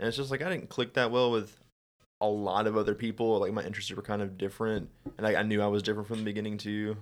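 In a Southern US accent, a man talks at a very fast pace with a fairly low pitch. His intonation is monotone and flat, and the recording is very clean with a silent background. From Alabama, Birmingham area. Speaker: podcast co-host, warehouse worker. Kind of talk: casual chat.

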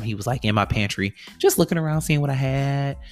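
A man speaks in a somewhat breathy voice. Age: 30s. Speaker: podcast host. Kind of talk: casual solo monologue.

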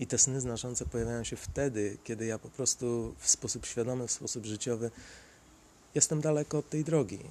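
Man's dark, mellow tone at a medium pitch, ordinary pitch variation and a fairly quick pace. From Poland, Sieradz. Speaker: podcaster. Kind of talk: solo monologue storytelling. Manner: halting.

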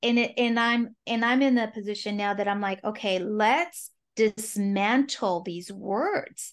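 An ordinary speaking voice with an American accent moves at a fairly slow pace. There are hardly any pauses, and the pitch varies in an ordinary way. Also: woman, fairly high pitch for a woman. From California, Mexican American family. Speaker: lawyer turned life coach. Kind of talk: interview conversation.

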